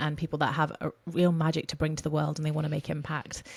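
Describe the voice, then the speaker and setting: On a very clean recording with a silent background, a woman speaks at a very deep, low pitch. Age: 20s. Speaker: voice coach. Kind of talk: podcast interview. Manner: fast.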